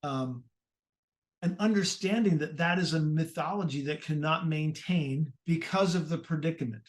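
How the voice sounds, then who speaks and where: The man has an unremarkable speaking voice with a fairly high pitch. He talks at a moderate pace with ordinary pitch variation. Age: 60s. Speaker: podcast host. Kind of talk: casual chat.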